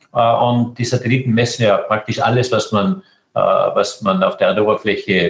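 A man talking at a moderate pace. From Austria, Tyrol. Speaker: space agency director. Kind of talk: interview. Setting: internet call.

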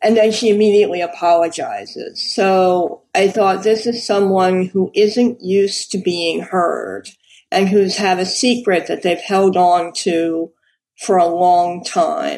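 With an American accent and a plain, everyday voice, a woman speaks at a medium pitch and fairly slow pace, her intonation fairly even and her loudness very even. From New York City. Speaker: crime novelist. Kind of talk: interview.

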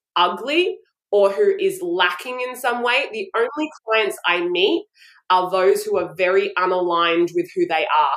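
Very wide pitch swings from a woman with a medium pitch in an Australian accent. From Brisbane, Australia. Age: 40s. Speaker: style coach and image consultant. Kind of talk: casual interview chat.

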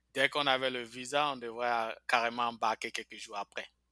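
A man at medium pitch speaks at a moderate pace with fairly even intonation. The recording is very clean and silent behind him, dry and close with no echo. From Ivory Coast, Bouaké. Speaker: immigrant telling life story. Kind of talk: interview testimony. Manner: hesitant, with fillers.

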